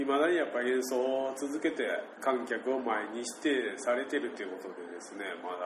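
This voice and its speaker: Amid noticeable background noise and audible room echo, a man speaks at a moderate pace with hardly any pauses, at a medium pitch with ordinary variation and big swings in loudness. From Shimabara, Nagasaki, Japan. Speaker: podcast host. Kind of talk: casual chat.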